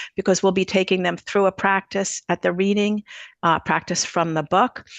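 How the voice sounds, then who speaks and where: A woman with a normal speaking voice and medium pitch talks at a moderate pace in fairly even intonation, the sound dry and close with no echo against a quiet background. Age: 60s. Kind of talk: interview.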